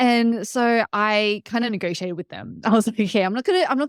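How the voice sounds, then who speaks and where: With an Australian accent, a woman talks at a fairly quick pace and with lively intonation. The recording is very clean with a silent background, and the sound is dry and close with no echo. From Australia, Sydney. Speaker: startup CEO and entrepreneur. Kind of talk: interview. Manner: fast, with many fillers.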